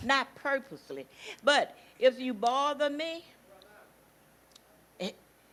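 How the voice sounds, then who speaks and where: Her pace is fairly slow. A woman speaks at a high pitch with a bright, sharp tone. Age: 70s. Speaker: interviewee, aunt of host. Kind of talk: testimony.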